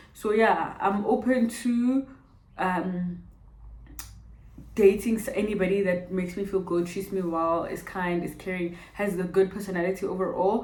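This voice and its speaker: With audible room echo, a woman in a Botswana accent speaks at a medium pitch and a moderate pace. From South Africa, Pretoria. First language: Setswana. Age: 20s. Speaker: vlogger. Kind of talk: casual Q&A vlog. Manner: animated.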